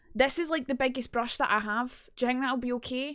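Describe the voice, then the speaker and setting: A woman with a Scottish accent speaks at a fairly quick pace against a quiet background. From Scotland. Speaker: streamer. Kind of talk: casual livestream talk. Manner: chatty, humorous. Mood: playful, joking. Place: home room. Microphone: studio mic.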